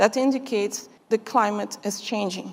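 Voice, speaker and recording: A woman speaks with a Brazilian Portuguese accent. Her pitch varies in an ordinary way. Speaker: chemist and conference speaker. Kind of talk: conference speech. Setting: stage with audience.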